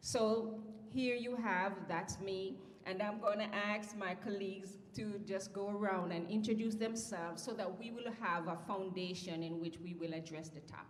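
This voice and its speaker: A woman with a Jamaican accent at a medium pitch and moderate pace, with audible room echo and noticeable background noise. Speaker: panel moderator and psychology professor. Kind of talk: panel discussion introduction. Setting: conference stage with audience. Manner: speeds up when excited.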